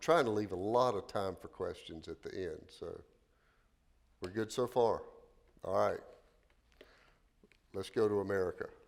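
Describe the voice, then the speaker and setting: Long, frequent pauses and big swings in loudness from a man keeping a moderate speed. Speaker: pastor. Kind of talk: lecture. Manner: halting.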